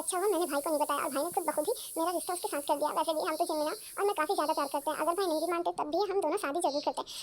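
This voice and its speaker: Over clear background noise, a woman speaks at a very fast pace in a put-on character voice with extremely high pitch and fairly even intonation. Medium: read story. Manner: whiny, cheeky.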